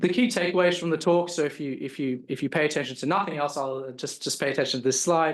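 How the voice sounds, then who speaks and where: A man with an Australian accent talks at a very fast pace with hardly any pauses. His pitch is fairly high and varies in an ordinary way. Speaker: professor. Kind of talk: lecture. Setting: stage with audience. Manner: halting, many fillers and repetitions.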